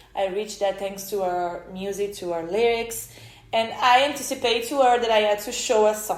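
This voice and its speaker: Audible room echo surrounds a woman with an Italian accent whose pitch varies in an ordinary way. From Italy. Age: 30s. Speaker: podcaster. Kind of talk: personal storytelling monologue. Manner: halting, many fillers and restarts.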